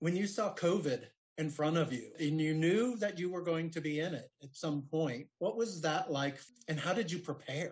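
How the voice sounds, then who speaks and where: A man's plain, everyday voice at a fairly high pitch, with ordinary pitch variation and a moderate pace. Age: 60s. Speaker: interviewer. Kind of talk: interview.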